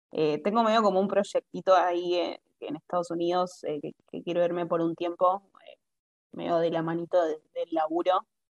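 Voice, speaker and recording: In a dry, close recording with no echo, a plain, everyday voice speaks at a moderate pace with fairly even intonation. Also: woman, fairly low pitch for a woman. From Argentina. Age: 20s. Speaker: traveler living abroad. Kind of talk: casual interview chat.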